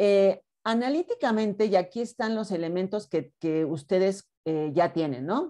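Against a quiet background, a woman talks at a fairly slow pace in a dark, mellow tone. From Mexico. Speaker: university teacher. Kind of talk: online class lecture. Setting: video call. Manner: stern, brusque. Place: home room. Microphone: webcam.

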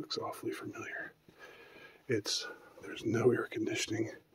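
Noticeable background noise accompanies words spoken at a moderate pace. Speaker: urban explorer vlogger. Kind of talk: casual vlog chat. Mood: playful, mock spooky. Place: hall. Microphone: phone near.

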